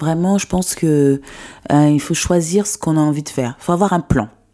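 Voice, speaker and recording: A woman's very deep, low voice, dark and mellow in tone, with ordinary pitch variation. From Ivory Coast. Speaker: fashion brand founder. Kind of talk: interview. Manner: hesitant, many fillers.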